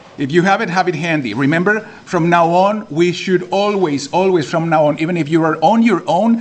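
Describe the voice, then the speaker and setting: Over noticeable background noise, a man with a high pitch speaks in an animated tone. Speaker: watercolor art teacher. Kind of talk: live class instruction. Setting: library classroom with about 50 students. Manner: louder than usual.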